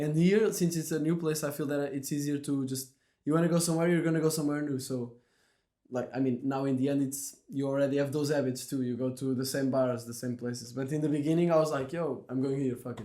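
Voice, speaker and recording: In a Portuguese accent, a man speaks very fast with a fairly high pitch, fairly even intonation and a dark, mellow tone, while room echo is audible. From Portugal. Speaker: podcast host. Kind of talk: casual chat.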